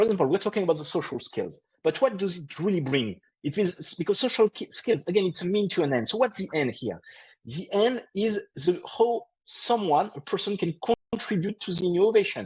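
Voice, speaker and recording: Against a quiet background, a man talks fairly quickly at a high pitch with lively intonation. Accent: French. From France. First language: French. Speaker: podcast co-host on HR and tech. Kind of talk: casual explanatory discussion. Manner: halting, with frequent repetitions.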